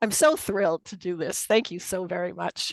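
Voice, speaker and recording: The speaker has a Boston accent. The sound is dry and close, with no echo. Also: woman. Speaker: occupational therapist and Reiki presenter. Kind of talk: webinar presentation.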